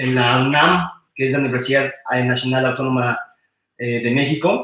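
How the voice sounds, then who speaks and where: A fairly high-pitched man with a Mexican accent, speaking at a moderate pace. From Mexico. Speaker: roboticist. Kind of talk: technical talk. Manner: halting, many repetitions and fillers.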